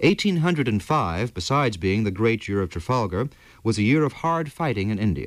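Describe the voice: Lively intonation in plain reading aloud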